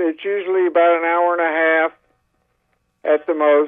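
High-pitched man with a Southern US accent. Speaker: garden club member. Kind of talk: radio call-in. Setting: phone call.

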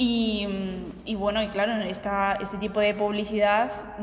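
A woman speaks with fairly high pitch in a monotone, flat intonation. Audible room echo surrounds her voice. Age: 20s. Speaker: marketing student, podcast co-host. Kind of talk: casual chat.

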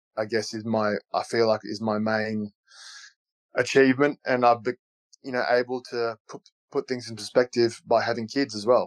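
A man with an Australian accent, medium-pitched and monotone with flat intonation, at a fairly slow pace with long, frequent pauses, in a dry, close sound with no echo against a quiet background. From Australia (Canberra). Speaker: retired professional footballer. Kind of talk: interview.

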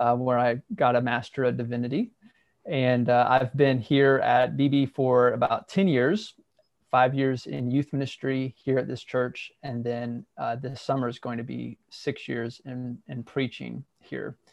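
A man with an American accent has an ordinary speaking voice. He speaks at a fairly slow pace and medium pitch. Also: fairly even intonation. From US Midwest, southeast Ohio. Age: 30s. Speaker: minister. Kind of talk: casual interview.

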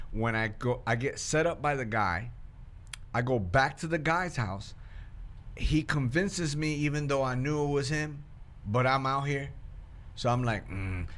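With audible room echo, a man at a medium pitch talks at a fairly slow pace with ordinary pitch variation and long, frequent pauses. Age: 40s. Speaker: podcast host. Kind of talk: casual faith discussion.

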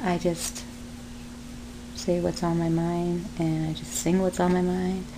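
A woman at a fairly slow pace with long, frequent pauses, over noticeable background noise. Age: 30s. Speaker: podcaster and aspiring stand-up comedian. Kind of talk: casual solo podcast monologue, self-deprecating humor. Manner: rambling, easily distracted, jokey, with many fillers; self-deprecating, animated.

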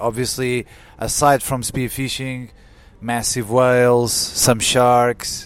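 A man with a Portuguese accent speaks very slowly at medium pitch. Background noise is noticeable. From Portugal. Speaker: climate scientist. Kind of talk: interview. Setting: conference.

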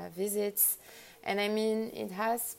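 Speaking with a French accent, a woman talks at a very slow pace. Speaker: lighting designer. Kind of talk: interview. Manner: halting.

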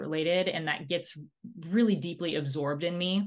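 Speaking at a moderate pace, a woman has a plain, everyday voice with a fairly low pitch and ordinary pitch variation. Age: 30s. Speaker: podcast co-host. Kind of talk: casual chat.

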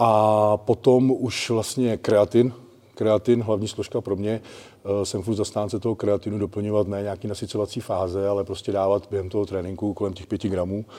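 A man's fairly low, dark, mellow voice at a moderate pace, flat and monotone throughout. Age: 40s. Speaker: personal trainer. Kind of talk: casual chat.

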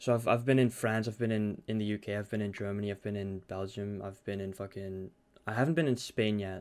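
A man with a Dutch accent, fairly quick pace and fairly even intonation, on a very clean recording with a silent background. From Netherlands. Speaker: podcast host and streamer. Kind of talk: casual chat. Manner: hesitant, filler-heavy.

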